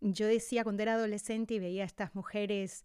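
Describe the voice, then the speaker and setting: Recorded very cleanly against a silent background, a woman speaks in an unremarkable speaking voice. Her pitch is fairly high and her pace moderate. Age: 50s. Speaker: podcast host and wellness teacher. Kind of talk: casual chat.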